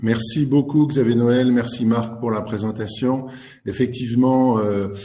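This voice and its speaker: Fairly slow and with fairly even intonation, a man talks at a medium pitch. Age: 60s. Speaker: executive coach. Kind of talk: webinar presentation. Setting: online webinar. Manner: halting, many fillers.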